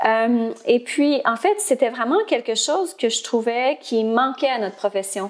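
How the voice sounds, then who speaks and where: At a fairly slow pace and with hardly any pauses, a woman talks in a high pitch. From Ontario, Canada (Franco-Ontarian). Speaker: speech-language pathologist and platform founder. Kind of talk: interview. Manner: hesitant, many filler words.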